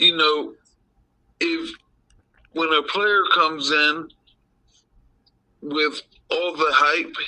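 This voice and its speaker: A man speaks very slowly, leaving long, frequent pauses. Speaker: father of host, sports fan. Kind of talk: casual chat. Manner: slurred speech from a stroke; halting.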